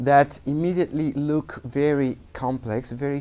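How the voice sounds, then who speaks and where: A man speaks at a very slow pace. His intonation stays fairly even. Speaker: guest lecturer. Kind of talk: lecture. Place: classroom.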